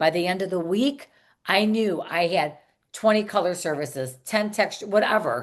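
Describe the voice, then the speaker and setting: A woman's normal speaking voice at medium pitch, moderate pace and lively intonation, over a quiet background. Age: 60s. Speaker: salon coach and hairstylist. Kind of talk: podcast interview.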